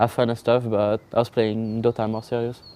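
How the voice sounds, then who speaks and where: A man with a French accent speaks at a moderate pace in a medium-pitched voice with monotone, flat intonation. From France. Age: 20s. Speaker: pro esports player. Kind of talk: interview. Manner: halting.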